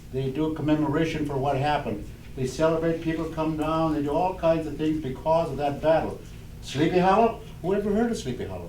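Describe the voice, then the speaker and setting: Amid audible room echo and noticeable background noise, a man with a fairly high voice talks at a fairly quick pace with ordinary pitch variation. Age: 80s+. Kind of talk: oral history storytelling. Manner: halting, with many fillers.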